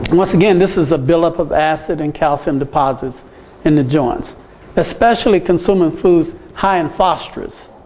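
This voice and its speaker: A man's high voice, with ordinary pitch variation, moves at a moderate pace while noticeable background noise runs underneath. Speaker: medical missionary teacher. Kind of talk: lecture.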